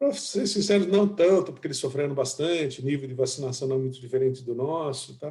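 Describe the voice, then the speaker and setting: Somewhat breathy and dark, mellow in tone, a man's fairly high-pitched voice moves at a fairly quick pace with ordinary pitch variation. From interior of São Paulo state (Itu), Brazil. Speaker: chief economist. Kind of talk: business presentation. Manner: hesitant, with many filler words.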